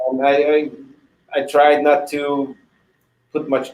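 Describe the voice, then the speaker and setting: This man has a fairly high voice. He speaks at a moderate pace. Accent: Hungarian. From Hungary. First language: Hungarian. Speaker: retired hockey goalie. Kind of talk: interview. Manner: halting, many repetitions.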